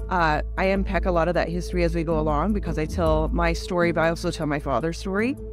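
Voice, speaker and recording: A woman speaks very fast in a warm, enthusiastic tone with very even loudness and dry sound with no echo. Clear music plays in the background. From Cherokee Nation, United States. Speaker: Cherokee actress and activist, one-woman show performer. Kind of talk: promotional talk to camera about her own show. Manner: warm, enthusiastic, conversational. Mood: warm, reflective.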